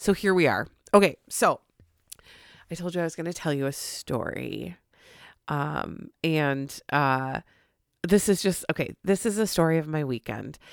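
Over a silent background in a very clean recording, a woman with a very deep, low voice speaks fairly slowly, with lively intonation and long, frequent pauses. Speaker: podcast host. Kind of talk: casual monologue. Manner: hesitant with many fillers.

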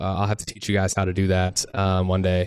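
Words come out at a very fast pace from this man. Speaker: short term rental investor. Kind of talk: casual round table chat.

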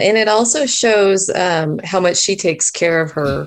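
A woman speaks over a quiet background. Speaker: writer. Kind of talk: casual chat. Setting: video call.

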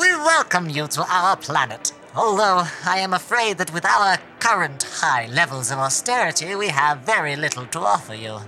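A put-on character voice at a middle pitch and a moderate pace comes through over clear background noise. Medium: audio drama. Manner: formal, stately, gloomily matter-of-fact.

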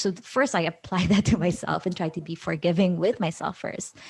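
Moderately paced female speech at a medium pitch, its intonation fairly level. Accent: Filipino. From Philippines. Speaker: creative director. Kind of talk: casual interview.

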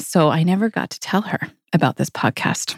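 A woman's plain, everyday voice, fairly low in pitch, at a moderate pace, in a dry, close sound with no echo and a very clean recording with a silent background. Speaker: podcast host, group practice owner. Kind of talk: casual chat, podcast conversation.

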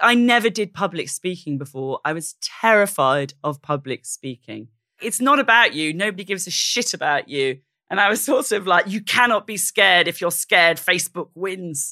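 A woman with a Welsh accent, bright and sharp in tone, medium in pitch with very wide pitch swings, at a moderate pace, dry and close with no echo, in a very clean recording over a silent background. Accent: Welsh-tinged British English. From South Wales. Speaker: investigative journalist. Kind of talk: interview conversation.

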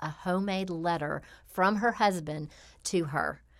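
On a very clean recording with a silent background, a woman with a Tennessee accent speaks at a medium pitch with ordinary pitch variation. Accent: Southern US (Tennessee). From US South, Memphis, Tennessee. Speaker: podcast host and coach. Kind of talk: casual chat.

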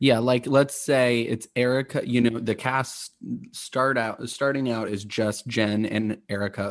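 A man talks in an ordinary speaking voice at medium pitch, with fairly even intonation. His pace is fairly slow, and the background is quiet. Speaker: podcast guest. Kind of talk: casual chat.

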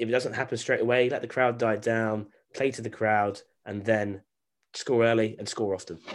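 On a very clean recording with a silent background, a man with a British accent speaks at a moderate pace in a medium pitch, his intonation monotone and flat. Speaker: sports podcast host. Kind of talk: sports analysis chat.

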